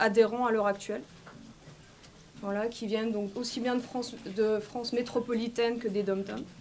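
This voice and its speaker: Her pitch sits fairly high. This woman keeps a moderate pace. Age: 40s. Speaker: medico-social worker, vaccine injury victim. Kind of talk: testimony. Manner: halting, with many fillers.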